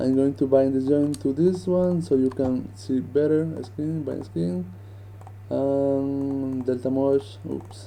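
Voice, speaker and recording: A man with a non-native accent speaks at a very slow pace over light background noise. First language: not English. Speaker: 3D animation rigger; 3D rigging instructor. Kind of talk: tutorial. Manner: casual, hesitant.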